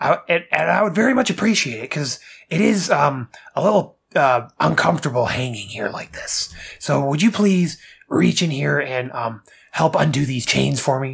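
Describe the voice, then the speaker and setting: The speaker does a put-on character voice at a low-to-middle pitch. It moves at a moderate pace. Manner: exasperated, pleading.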